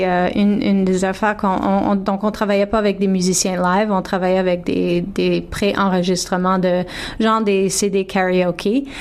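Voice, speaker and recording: A woman speaks at a moderate pace with hardly any pauses. Her voice sits at a medium pitch and stays very even in loudness. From Toronto, Ontario (Franco-Ontarian). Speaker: singer. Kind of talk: radio interview. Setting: radio studio. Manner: halting.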